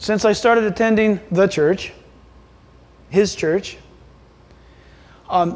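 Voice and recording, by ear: A man with a high pitch and a slightly mellow tone talks at a fairly slow pace with lively intonation.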